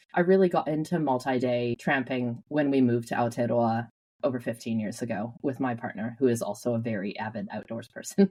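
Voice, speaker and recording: A woman with a Canadian accent, a very deep, low pitch and ordinary pitch variation. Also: hardly any pauses. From Western Canada, British Columbia. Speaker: conservation charity chief executive. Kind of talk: podcast interview.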